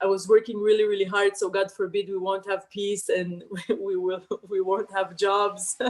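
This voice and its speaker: A woman speaks at a moderate pace and a medium pitch. Her intonation is monotone and flat. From Israel. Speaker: comedian. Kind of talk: interview answer. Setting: online call. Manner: casual, storytelling.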